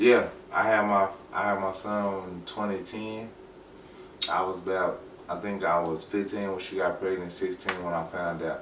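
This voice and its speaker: In a room with audible echo, a man speaks at a very deep, low pitch with monotone, flat intonation. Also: moderate pace. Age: 30s. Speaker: podcast guest, former gang member and father. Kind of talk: casual interview.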